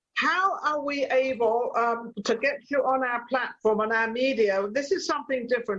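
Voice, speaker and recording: A woman's fairly high voice with a slight British accent and ordinary pitch variation. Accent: hints of British. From England, Torquay, Devon. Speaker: chat show host. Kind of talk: casual chat.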